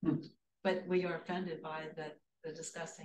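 Light background noise and audible room echo accompany the woman's speech. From Austria. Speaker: activist; interview guest. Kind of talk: interview testimony. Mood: earnest, indignant. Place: home room. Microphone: camera far.

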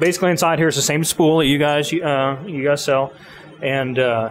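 The speaker goes at a moderate pace over light background noise. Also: man. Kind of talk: interview answer. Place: workshop. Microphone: handheld.

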